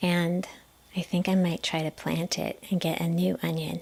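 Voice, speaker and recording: Soft-spoken and with a gentle tone, the voice moves at a moderate pace with fairly even intonation. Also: woman. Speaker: massage therapist. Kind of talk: casual talk to camera, gentle chatty tips. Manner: gentle, quiet, soft-spoken.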